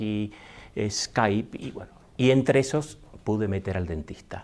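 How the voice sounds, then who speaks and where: A man with an Argentine accent speaks at a fairly slow pace. His medium-pitched voice has ordinary pitch variation, and the recording is very clean, with a silent background. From Argentina. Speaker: speaker. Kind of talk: talk to an audience, personal story.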